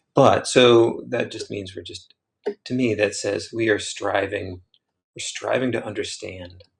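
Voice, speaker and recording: A man speaks quietly at a fairly slow pace. His loudness swings widely. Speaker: printmaker and artist. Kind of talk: casual livestream musing. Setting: livestream while carving.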